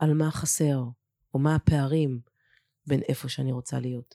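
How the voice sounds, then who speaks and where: A woman's voice carries a dark, mellow tone in a dry, close sound with no echo. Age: 40s. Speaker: courage consultant and lecturer. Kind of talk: interview.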